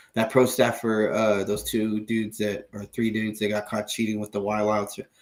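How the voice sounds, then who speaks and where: Monotone, flat intonation from a man with a fairly low voice, moving at a moderate pace. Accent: American. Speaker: fishing podcast co-host. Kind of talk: casual chat. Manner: halting, many fillers.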